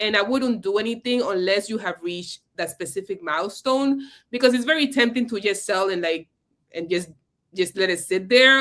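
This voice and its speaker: A woman with a bright, sharp tone speaks at a moderate pace with lively intonation. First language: Spanish. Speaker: investing educator. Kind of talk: live stream conversation. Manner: casual, with hesitations and restarts.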